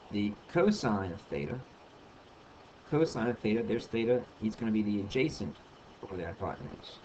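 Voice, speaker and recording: Over noticeable background noise, a man with a fairly low pitch uses lively intonation and leaves long, frequent pauses. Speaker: math tutor. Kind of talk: tutorial. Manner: hesitant, many ums.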